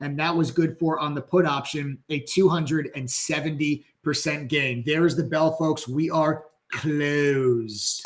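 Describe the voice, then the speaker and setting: A man's fairly high-pitched voice at a fairly slow pace, with hardly any pauses. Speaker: stock trading educator and livestream host. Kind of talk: live stream market commentary. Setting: live stream. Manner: excited, energetic.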